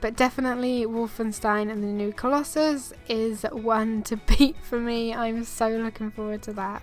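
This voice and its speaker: With music in the background, a woman talks at a moderate pace with hardly any pauses. Her fairly high pitch stays in fairly even intonation. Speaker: gaming YouTuber. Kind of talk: casual talk to camera.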